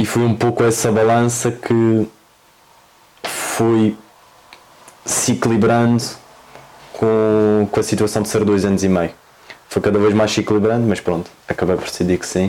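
In a Madeiran accent, a man with a fairly low pitch talks at a moderate pace in a monotone, flat delivery with long, frequent pauses, amid noticeable background noise. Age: 20s. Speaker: football coach. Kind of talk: interview.

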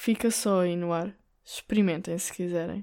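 A woman's dark, mellow voice in a European Portuguese accent, medium in pitch with fairly even intonation, on a very clean recording with a silent background. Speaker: podcast host. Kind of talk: solo monologue. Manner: hesitant, many fillers.

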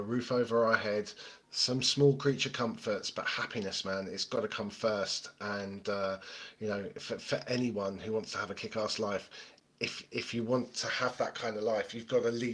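Someone speaks in a British accent. The intonation stays monotone and flat. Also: man. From Britain. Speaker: podcast host, interviewed as guest. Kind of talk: casual interview chat.

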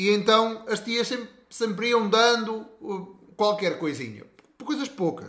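A man speaks with a bright, sharp tone. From rural Portugal. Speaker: podcast co-host. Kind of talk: casual chat.

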